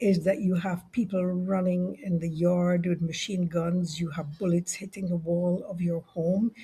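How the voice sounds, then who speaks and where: Dark, mellow tone in a female voice that is somewhat breathy. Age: 70s. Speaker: leadership consultant and author. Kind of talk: interview conversation.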